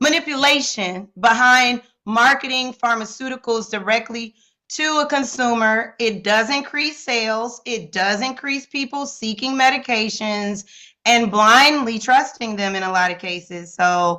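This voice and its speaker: In a very clean recording with a silent background, a woman with an American accent speaks fairly slowly at a fairly high pitch. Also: ordinary pitch variation. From Chicago, South Side. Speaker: psychiatrist. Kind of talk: casual chat. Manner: animated.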